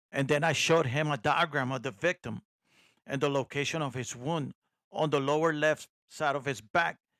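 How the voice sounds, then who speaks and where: Pitched fairly high with a bright, sharp tone, a man with a non-native accent speaks at a moderate pace and fairly even intonation in a dry, close sound with no echo. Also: very clean recording, silent background. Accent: noticeable non-native. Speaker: private investigator and podcast host. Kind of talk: first-person true crime narration. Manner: sometimes poorly enunciated.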